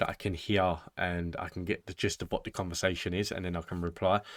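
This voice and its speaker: A man talks at a very fast pace with a British accent. The recording is very clean, with a silent background. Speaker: reaction video host. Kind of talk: casual chat to camera.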